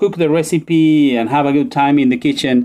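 This man talks with a Spanish accent. His pitch sits fairly high. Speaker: journalist. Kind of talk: casual interview conversation. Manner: hesitant, many fillers and repetitions.

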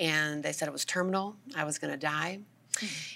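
With an American accent, a voice with a bright, sharp tone and vocal fry speaks in a fairly even intonation. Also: woman. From US South, Georgia. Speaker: author and minister. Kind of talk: interview testimony.

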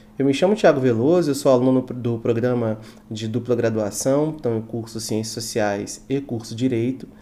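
Noticeable background noise sits behind a man at medium pitch. He speaks at a moderate pace with fairly even intonation. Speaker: university student. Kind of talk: podcast interview.

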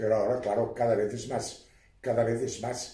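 Somewhat breathy and dark, mellow in tone, a man's medium-pitched voice carries audible room echo. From Spain, Catalonia (Baix Empordà, Girona). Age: old. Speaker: court expert witness. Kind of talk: casual interview.

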